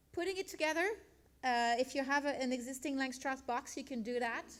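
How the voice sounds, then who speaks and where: A woman speaks in a high pitch. Her pitch varies in an ordinary way. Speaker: beekeeping speaker. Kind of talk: presentation. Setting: meeting with live audience. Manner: fast; animated.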